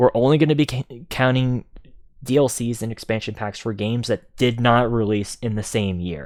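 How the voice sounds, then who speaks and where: Delivered at a moderate pace with fairly even intonation, an unremarkable speaking voice comes through on a very clean recording with a silent background. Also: man. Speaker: gaming streamer. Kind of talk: livestream commentary. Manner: casual, many fillers.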